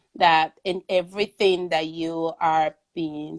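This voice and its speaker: This woman speaks with a Venezuelan accent. Her pitch is fairly low. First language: Spanish. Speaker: artist. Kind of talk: interview conversation. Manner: halting, many fillers.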